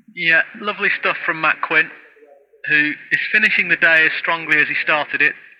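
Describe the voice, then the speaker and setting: He has a high pitch and a northern English accent. The man keeps a moderate pace. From Stoke-on-Trent, English Midlands. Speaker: cricket radio commentator. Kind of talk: live commentary.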